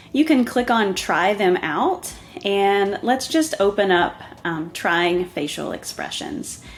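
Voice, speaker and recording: A woman with a Southern US accent, medium in pitch, at a very slow pace, with very wide pitch swings. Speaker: software tutorial presenter. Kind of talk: tutorial. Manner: casual, with filler ums.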